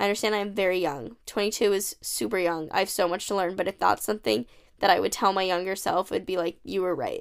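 A woman with an American accent talks at a very fast pace, her medium-pitched voice showing vocal fry and ordinary pitch variation in a very clean recording with a silent background. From United States. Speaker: podcast host. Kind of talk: casual monologue. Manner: chatty, filler-heavy.

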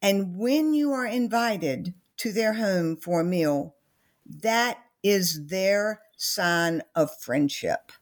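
In a Southern US accent, a woman speaks at a very slow pace with very wide pitch swings. The recording is very clean, with a silent background. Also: medium pitch for a woman. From US South. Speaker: author and company founder. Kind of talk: interview about her book.

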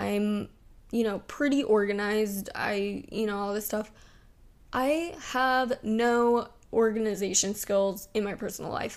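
A woman speaks loudly at a fairly slow pace with ordinary pitch variation, captured in a very clean recording with a silent background. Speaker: solo podcast host. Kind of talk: casual solo chat.

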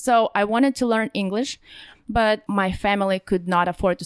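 A woman with a Russian accent is heard in a dry, close sound with no echo. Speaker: online store entrepreneur. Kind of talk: interview. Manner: laughs often.

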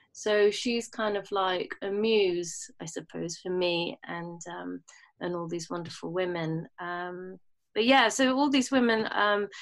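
In a London accent, a woman talks at a fairly slow pace with a fairly low pitch, on a very clean recording with a silent background. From London and Bahrain. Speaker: jazz musician. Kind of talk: interview.

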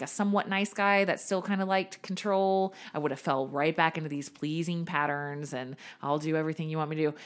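At a fairly quick pace, a woman with a plain, everyday voice and an American accent speaks in a fairly low pitch with ordinary pitch variation. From Virginia, Richmond. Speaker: personal trainer and nutrition coach. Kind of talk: casual interview, personal testimony.

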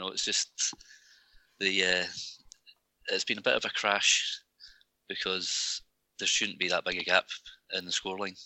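A speaker with a Scottish accent talks at a moderate pace. Long pauses come often. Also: man. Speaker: podcast co-host. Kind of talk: casual chat.

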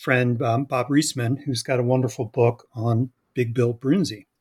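A man's ordinary speaking voice at medium pitch, with fairly even intonation, a moderate pace, and a dry, close sound with no echo on a very clean recording with a silent background. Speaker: academic and co-author.

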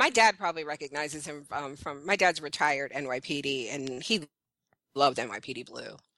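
Her voice very deep and low, a woman with an American accent speaks at a fairly quick pace in a bright, sharp tone, with ordinary pitch variation, big swings in loudness and a quiet background. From Brooklyn, New York. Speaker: website founder and TV fan commentator. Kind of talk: casual chat.

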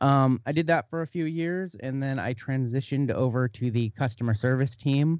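In an American accent, a man with a plain, everyday voice speaks at a moderate pace and medium pitch, with ordinary pitch variation and hardly any pauses. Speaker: communications staff at a sports card marketplace. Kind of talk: interview.

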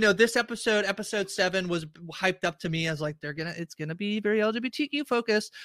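Over a very clean, silent background with a dry, close sound and no echo, a man with a high pitch and a bright, sharp tone talks at a very fast pace in a raised, projected voice, his intonation lively, his loudness swinging widely and his speech hardly pausing. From Canada. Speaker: podcast host. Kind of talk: casual chat.

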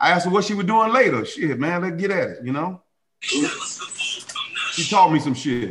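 Talking at a moderate pace, a man with a high pitch sounds animated, his pitch swinging very widely. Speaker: guest, friend of host. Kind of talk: casual banter. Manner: animated, joking.

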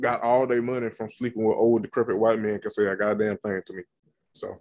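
A man speaks with a Southern US accent. His pitch is medium. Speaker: podcast host. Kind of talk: casual banter, reality TV recap.

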